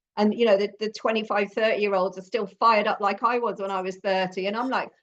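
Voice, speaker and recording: A woman with a British accent talks at a very fast pace in a medium pitch with monotone, flat intonation. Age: 50s. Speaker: podcast host, former nurse. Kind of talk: casual interview chat.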